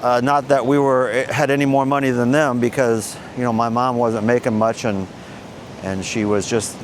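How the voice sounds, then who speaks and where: Noticeable background noise sits behind a man speaking at a moderate pace and medium pitch with ordinary pitch variation. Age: 60s. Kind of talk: personal story to camera. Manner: casual, hesitant.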